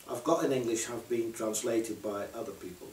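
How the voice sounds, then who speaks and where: Amid noticeable background noise and audible room echo, a man with a Dutch accent speaks at medium pitch. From Netherlands. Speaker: poet and translator. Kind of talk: casual talk about own work. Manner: halting, many fillers.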